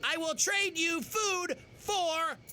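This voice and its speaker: An extremely high-pitched, put-on character voice comes through clear background noise. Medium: short film. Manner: blunt, deadpan.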